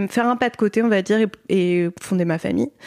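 A woman at medium pitch and moderate pace, an ordinary speaking voice, in a very clean recording with a silent background and a dry, close sound with no echo. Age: 30s. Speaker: book editor and author, mother. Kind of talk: casual interview.

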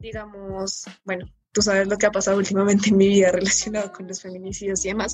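A woman at a very fast pace, flat and monotone in intonation, with big swings in loudness. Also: medium pitch for a woman. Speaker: mechanical engineering student. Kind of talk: casual chat.

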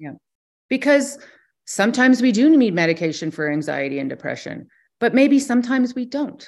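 Her pitch high, a woman speaks at a fairly quick pace with very wide pitch swings, big swings in loudness and long, frequent pauses. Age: 50s. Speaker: wellness center founder. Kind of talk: interview.

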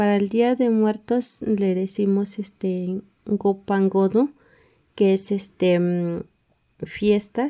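A woman speaks very slowly with a dark, mellow tone. Her intonation is fairly even and her loudness very even. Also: medium pitch for a woman. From Mexico, Sierra of Hidalgo (Huehuetla). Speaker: book author, community member. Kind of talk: interview. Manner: hesitant, many fillers.

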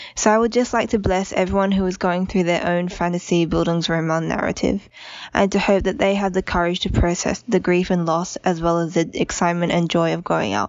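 Speaking at a fairly quick pace, a woman with an Australian accent keeps her intonation fairly even. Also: fairly low pitch for a woman. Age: 20s. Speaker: listener leaving voicemail. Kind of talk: voicemail message. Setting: phone voicemail.

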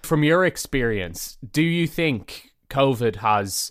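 Someone with an Irish accent speaks at a fairly slow pace in a very clean recording with a silent background. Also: man. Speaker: podcast host. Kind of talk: interview.

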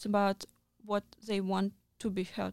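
A woman speaks at medium pitch and a very slow pace, her intonation monotone and flat. The sound is dry and close, with no echo. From Moscow region, Russia. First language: Russian. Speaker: journalist. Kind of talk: interview. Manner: halting.

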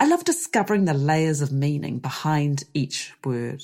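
Very slowly and somewhat breathily, a woman speaks with a New Zealand accent on a very clean recording with a silent background. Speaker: podcast host and avocado orchard grower. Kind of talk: solo podcast monologue.

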